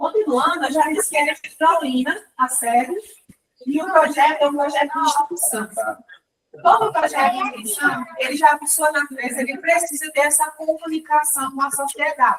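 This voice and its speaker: The voice belongs to a woman and sits high in pitch. Its rise and fall is ordinary. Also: moderate pace. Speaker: sanitation project presenter. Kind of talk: public presentation.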